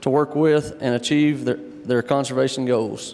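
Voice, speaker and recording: At a moderate pace, a man with an American accent talks with fairly even intonation over noticeable background noise. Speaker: panel moderator. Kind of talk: panel discussion moderation. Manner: casual, folksy.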